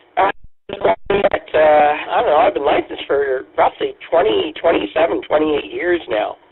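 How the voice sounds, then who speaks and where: A man talks at a moderate pace while noticeable background noise carries on around him. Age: 60s. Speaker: radio amateur. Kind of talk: radio net chat. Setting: amateur radio. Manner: halting.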